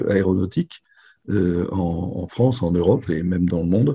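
At a moderate pace, a man speaks with a dark, mellow, somewhat breathy tone. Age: 60s. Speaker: business owner. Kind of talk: interview. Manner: halting.

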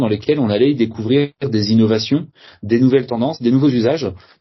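The pitch of this man's voice is medium. It varies in an ordinary way. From Brittany, France (Saint-Malo area). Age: 30s. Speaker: hotel founder, entrepreneur. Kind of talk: interview. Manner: halting, many hesitations and repeated words.

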